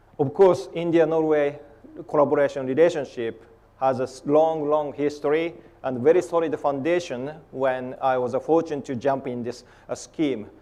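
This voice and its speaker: A man with a Japanese accent talks in a fairly high voice. His pace is moderate and his intonation fairly even. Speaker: polar scientist. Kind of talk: conference talk. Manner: halting.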